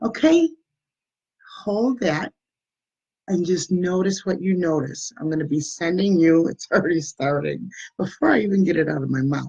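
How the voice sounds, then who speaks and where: Dark and mellow in tone, a woman speaks with ordinary pitch variation. She leaves long, frequent pauses. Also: fairly low pitch for a woman, moderate pace. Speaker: energy healer. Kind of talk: guided meditation. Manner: loud; casual.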